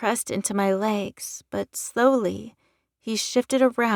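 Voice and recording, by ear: The clip is reading aloud in a natural voice with ordinary pitch variation. The background is quiet.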